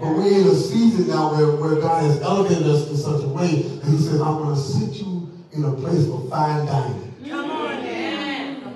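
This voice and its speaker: With strong room echo and noticeable background noise, a man speaks at a moderate pace with hardly any pauses and ordinary pitch variation. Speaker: preacher. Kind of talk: sermon. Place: church.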